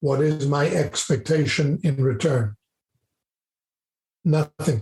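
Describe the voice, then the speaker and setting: Somewhat breathy and fairly high-pitched, a man speaks at a very slow pace with ordinary pitch variation in a dry, close sound with no echo. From South Africa. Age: 70s. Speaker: business professor and mentor. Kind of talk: podcast interview.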